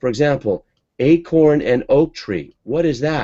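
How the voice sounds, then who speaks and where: This man's voice has a dark, mellow tone. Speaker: online marketing coach and webinar host. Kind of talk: live video hangout presentation. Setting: home office, live video broadcast.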